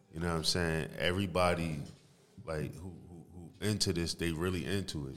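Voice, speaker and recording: Amid audible room echo, a man with a very deep, low pitch talks at a moderate pace, his intonation fairly even and his loudness swinging widely. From New Jersey, East Orange. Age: 30s. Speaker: music producer and engineer. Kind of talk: casual chat.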